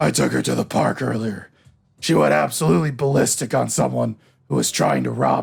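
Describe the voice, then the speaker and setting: A raspy, put-on character voice at a fairly quick pace. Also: man, very deep, low pitch for a man. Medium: game stream. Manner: casual, joking.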